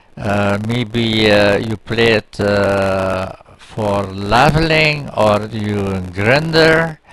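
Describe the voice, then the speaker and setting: A man's voice with lively intonation amid noticeable background noise. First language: Dutch. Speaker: gaming YouTuber. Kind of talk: gameplay commentary. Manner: halting, many fillers.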